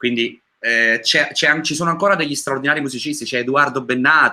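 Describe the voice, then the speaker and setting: A man at medium pitch with a bright, sharp tone, a fairly quick pace and ordinary pitch variation. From Naples, Italy. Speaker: singer. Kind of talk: interview.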